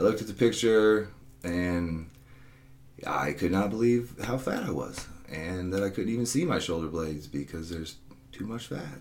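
In a room with audible echo, a man with a very deep, low voice speaks at a moderate pace using lively intonation. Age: 40s. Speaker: personal trainer and podcast host. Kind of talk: solo podcast monologue. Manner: casual, conversational with fillers.

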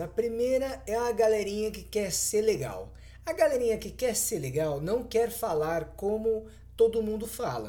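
A man with a strong São Paulo accent, high in pitch yet dark and mellow in tone, with lively intonation at a fairly slow pace, in audible room echo. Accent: paulista, strong. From São Paulo, Brazil. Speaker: podcast co-host. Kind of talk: casual chat.

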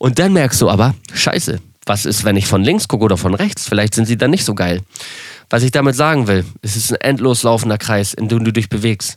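Here a man talks at a fairly quick pace with a medium pitch and ordinary pitch variation. It is a normal speaking voice. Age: 30s. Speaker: social media entertainer. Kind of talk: casual monologue.

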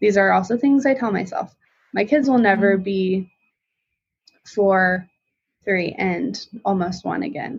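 A woman with an American accent talks at a fairly slow pace in a medium pitch, somewhat breathy, with ordinary pitch variation and long, frequent pauses. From Colorado. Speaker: visual artist and stay-at-home mom. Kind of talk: casual interview chat.

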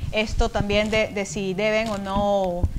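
A woman is speaking. She talks at a fairly slow pace. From Ecuador. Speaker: language editor and podcaster. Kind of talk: casual chat.

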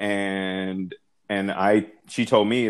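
A man talks at a fairly low pitch in monotone, flat intonation. The sound is dry and close, with no echo. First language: not English. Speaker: podcast co-host, single parent. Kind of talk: casual chat. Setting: remote call, not face to face.

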